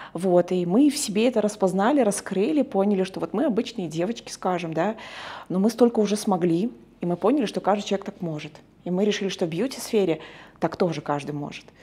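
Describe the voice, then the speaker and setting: A very fast delivery in a dark, mellow tone with lively intonation. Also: woman. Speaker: business partner. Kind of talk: interview. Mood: warm, proud. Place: shop. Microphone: lapel.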